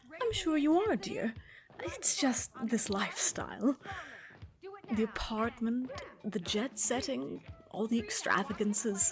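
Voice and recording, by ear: A woman uses a put-on character voice with a husky, rough edge, a fairly high pitch and lively intonation. She goes at a slow pace over faint music in the background.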